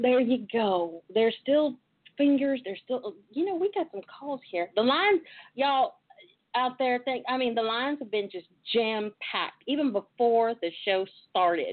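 A high-pitched woman with a Southern US accent and very wide pitch swings. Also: moderate pace. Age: 40s. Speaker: talk show host. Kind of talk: casual talk show chat. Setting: internet radio with callers. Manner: animated.

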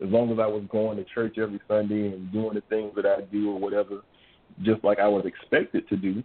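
This is a plain, everyday voice with an American accent. The pace is fairly quick. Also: man. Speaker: radio co-host. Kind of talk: religious call-in radio show.

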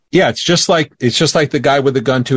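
With an American accent and a somewhat breathy quality, a man talks using ordinary pitch variation. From Florida, US. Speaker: guest, former radio co-host. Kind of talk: casual interview chat. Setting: video call.

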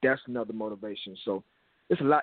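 Speaking at a fairly quick pace with an American accent, a man has an unremarkable speaking voice, a medium pitch and ordinary pitch variation. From Minneapolis, Minnesota, US. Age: 30s. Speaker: youth platform founder. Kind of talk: interview. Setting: phone call.

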